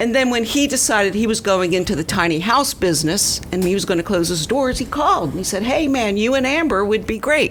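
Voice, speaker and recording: Fairly high female voice with very wide pitch swings, a fairly quick pace and hardly any pauses, over noticeable background noise. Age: 60s. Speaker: small business owner, camper builder. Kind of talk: casual chat.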